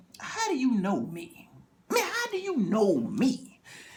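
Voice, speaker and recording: In a put-on character voice, this man hits an extremely high pitch while keeping a moderate pace. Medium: solo performance. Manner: casual, slangy.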